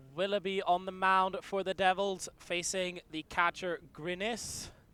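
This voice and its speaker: The voice is raised and projected, with a bright, sharp tone and a monotone, flat intonation. It moves at a fairly slow pace, and the sound is dry and close with no echo. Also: man, high pitch for a man. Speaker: play-by-play commentator. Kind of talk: live sports play-by-play commentary.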